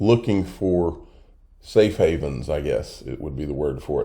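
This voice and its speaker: A man speaks in a dark, mellow tone. His voice has vocal fry. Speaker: crypto investment YouTuber. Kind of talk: casual vlog commentary. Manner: hushed, keeping voice down.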